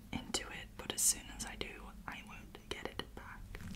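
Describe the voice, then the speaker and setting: A woman whispers at a fairly slow pace against noticeable background noise. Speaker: ASMR creator. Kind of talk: ASMR slime play. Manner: whispered.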